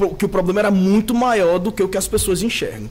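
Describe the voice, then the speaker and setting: A man's high-pitched voice at a fairly quick pace. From Natal, Rio Grande do Norte, Brazil. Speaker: city councillor. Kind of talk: studio interview. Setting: TV studio.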